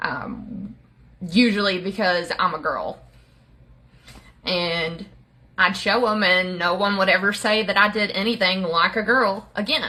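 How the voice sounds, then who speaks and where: With an Appalachian accent, a woman talks at a medium pitch and with ordinary pitch variation. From Appalachia, US. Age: 30s. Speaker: social media creator sharing life story. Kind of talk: personal testimony. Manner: casual, with many filler words.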